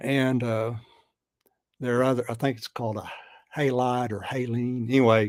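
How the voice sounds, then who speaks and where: The speech moves at a moderate pace, broken by long and frequent pauses. Its intonation stays flat and monotone. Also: man, medium pitch for a man. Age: 70s. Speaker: guest discussing his health and supplements. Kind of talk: casual chat. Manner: halting.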